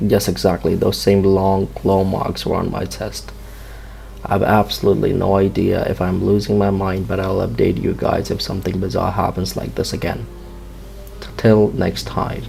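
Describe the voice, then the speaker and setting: Against noticeable background noise, a man speaks at a moderate pace with a non-native accent. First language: not English. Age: 20s. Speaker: amateur horror storyteller. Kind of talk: first-person story narration.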